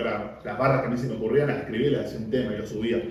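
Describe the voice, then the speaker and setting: Very fast speech from a man at medium pitch, with audible room echo and noticeable background noise. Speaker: freestyle rapper and workshop teacher. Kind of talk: casual interview.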